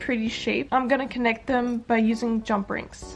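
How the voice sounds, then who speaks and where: Music in the background behind a woman's high voice at a moderate pace. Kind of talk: casual DIY tutorial talk.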